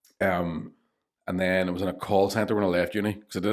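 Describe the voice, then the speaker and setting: Very deep and low, a man's voice runs at a very fast pace in a Northern Irish accent. His intonation is monotone and flat, on a very clean recording with a silent background. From Northern Ireland. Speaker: stand-up comedian. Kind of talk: podcast interview answer. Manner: casual, candid.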